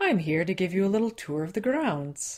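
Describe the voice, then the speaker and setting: A woman puts on a character voice at a medium pitch. Her pitch swings very widely. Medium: read story.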